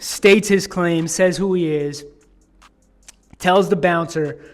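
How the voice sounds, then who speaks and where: With music in the background, a man talks in an animated tone at a moderate pace with ordinary pitch variation. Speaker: podcast host. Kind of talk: casual commentary podcast. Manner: stuttering, halting; casual, animated storytelling.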